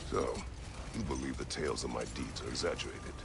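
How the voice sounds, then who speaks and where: A man's put-on character voice at a very fast pace over loud background noise. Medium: machinima. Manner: terse, gruff.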